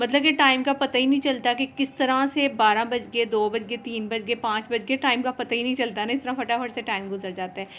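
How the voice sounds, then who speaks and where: A woman's high voice in a Punjabi accent, fairly even in intonation, with hardly any pauses. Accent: Punjabi-accented Urdu. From Pakistan, Punjabi. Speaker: cooking and lifestyle vlogger. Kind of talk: casual vlog narration while cooking. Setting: home kitchen.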